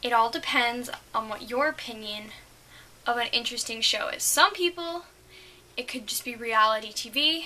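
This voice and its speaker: A woman speaks at a high pitch and a moderate pace with lively intonation. She leaves long, frequent pauses, and noticeable background noise is present. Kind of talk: casual talk to camera. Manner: stuttering, hesitant.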